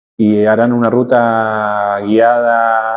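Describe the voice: This is a man with a fairly low pitch.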